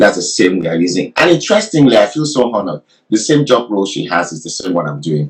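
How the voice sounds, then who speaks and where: There is vocal fry in this man's very deep, low voice. His pace is fairly quick. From Nigeria. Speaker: career coach. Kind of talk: interview. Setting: livestream.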